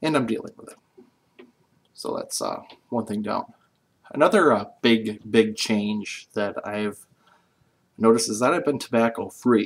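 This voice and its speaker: A man speaks at a medium pitch and a fairly slow pace, with long, frequent pauses. His loudness swings widely, while his pitch varies in an ordinary way. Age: 40s. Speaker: vlogger. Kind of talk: casual vlog monologue. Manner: casual, halting with fillers.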